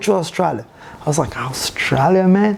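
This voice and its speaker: A man with a Brazilian accent and ordinary pitch variation. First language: Portuguese. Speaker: breaking teacher and studio owner. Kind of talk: podcast interview answer.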